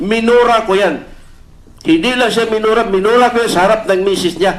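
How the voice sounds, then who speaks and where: A high-pitched man speaks at a fairly slow pace with ordinary pitch variation. Background noise is noticeable. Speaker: police officer testifying at senate hearing. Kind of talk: testimony. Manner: halting.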